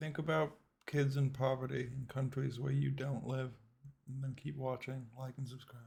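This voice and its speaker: Speaking in a somewhat breathy voice, a man keeps a medium pitch and a monotone, flat intonation. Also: moderate pace. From Britain, left at age five. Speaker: reaction video creator. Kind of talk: reaction commentary. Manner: casual, conversational.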